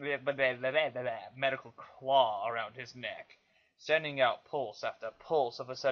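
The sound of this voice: Pitch moves in an ordinary way in this unforced reading voice.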